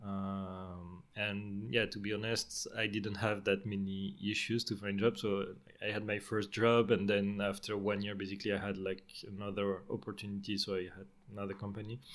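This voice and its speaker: In a French accent, a man speaks at a moderate pace with a fairly low pitch and flat, monotone intonation. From southern France, Marseille. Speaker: software engineer and project manager. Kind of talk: interview.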